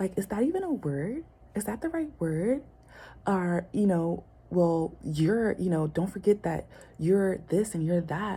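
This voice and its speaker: A somewhat breathy woman's voice at medium pitch and a fairly slow pace. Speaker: vlogger. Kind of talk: personal vlog monologue. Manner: hesitant, many fillers.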